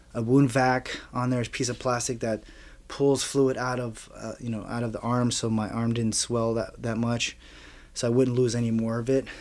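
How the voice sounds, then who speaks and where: With an American accent, a man with a medium-pitched voice speaks at a moderate pace in a monotone, flat way. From Miami, Florida. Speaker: war veteran. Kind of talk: testimony. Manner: halting.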